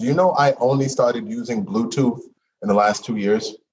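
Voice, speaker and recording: With an ordinary speaking voice and ordinary pitch variation, a man talks at a fairly quick pace. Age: 40s. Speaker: podcast host. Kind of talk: casual interview chat. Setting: video call.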